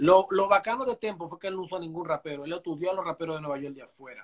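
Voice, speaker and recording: A man with a high pitch speaks at a moderate pace with lively intonation. The background is quiet. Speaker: guest. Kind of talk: interview answer. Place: home room. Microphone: video call.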